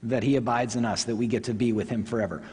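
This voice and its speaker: A somewhat breathy man with an American accent. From Oklahoma, Tulsa. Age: 40s. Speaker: pastor. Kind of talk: sermon. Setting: church.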